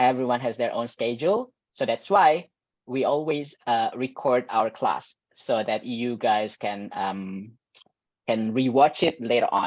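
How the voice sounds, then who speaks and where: Over a quiet background, a man speaks at medium pitch. His pace is very slow, with ordinary pitch variation. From Indonesia, Jakarta. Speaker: teacher. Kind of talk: online class. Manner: mixes Indonesian and English.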